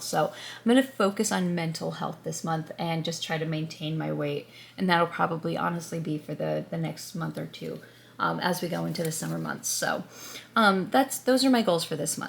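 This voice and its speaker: Putting on a raspy character voice, a woman speaks at a moderate pace with a fairly low pitch. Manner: subdued, low energy.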